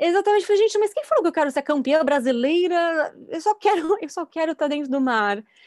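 Barely pausing, a woman with an extremely high pitch rattles off words at a very fast pace with lively intonation, in a dry, close sound with no echo. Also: very clean recording, silent background. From Brazil, São Paulo state. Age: 30s. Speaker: actress and filmmaker. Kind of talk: casual chat.

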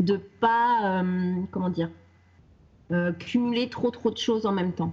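The woman's voice is somewhat breathy, her pace very slow and her pitch variation ordinary. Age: 30s. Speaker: wellness coach. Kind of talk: interview. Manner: halting.

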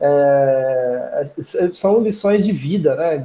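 The man's voice sits fairly high and sounds somewhat breathy. Its tone is dark and mellow. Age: 20s. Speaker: podcast host. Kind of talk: interview.

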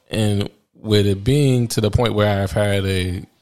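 Against a very clean recording with a silent background, a man with an American accent speaks in a monotone, flat way at a fairly low pitch. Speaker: podcast host. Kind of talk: podcast intro and monologue. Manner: casual, conversational.

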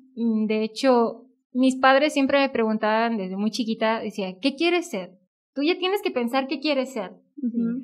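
A woman with a Mexican accent speaks at a high pitch and a fairly slow pace. The background is quiet. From Mexico, northern Veracruz. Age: 20s. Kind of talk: casual chat, vocation testimony.

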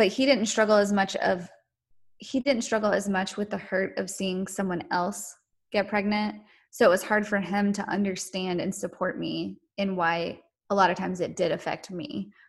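A woman's medium-pitched voice with vocal fry, fairly even intonation and a moderate pace against a quiet background. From North Carolina. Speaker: podcast guest sharing infertility story. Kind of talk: testimony.

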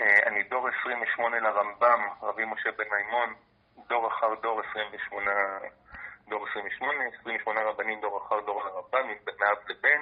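Very slowly, a man speaks with monotone, flat intonation. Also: medium pitch for a man. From Israel, Jaffa. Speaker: university lecturer and researcher. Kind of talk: interview.

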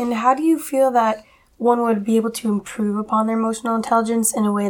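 At a very fast pace, a woman with an American accent speaks in a fairly high pitch with fairly even intonation over noticeable background noise. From Massachusetts, US. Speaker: college student, guest interviewer. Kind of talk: interview.

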